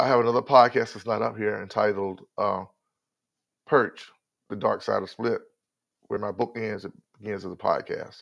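The speaker is a man with a Southern US accent. The background is quiet. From North Carolina. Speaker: podcast host. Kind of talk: motivational talk. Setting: live stream. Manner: faster than usual. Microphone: new headset.

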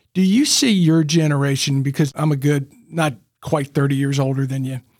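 Fairly even intonation in an unremarkable speaking voice, a man's, set fairly high. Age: 60s. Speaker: podcast host. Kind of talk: interview; scripted intro.

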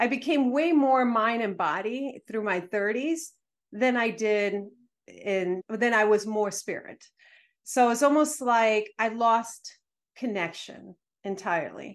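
A woman's fairly high voice at a very slow pace, ordinary pitch variation, quiet background. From Dominican Republic. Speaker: manifestation coach and educator. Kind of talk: casual interview chat.

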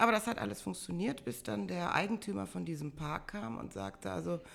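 A woman talks at a moderate pace. Her pitch is very deep and low, with vocal fry. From Bonn-Beuel, Germany. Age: 50s. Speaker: carnival organizer and pub owner. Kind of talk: casual interview. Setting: in person at her home.

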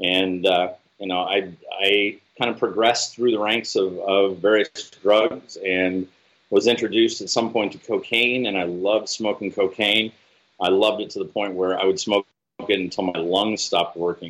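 A man with an American accent talks at a moderate pace, fairly low in pitch, with fairly even intonation. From US Pacific Northwest, Seattle area. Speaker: spiritual retreat director in recovery. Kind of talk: testimony.

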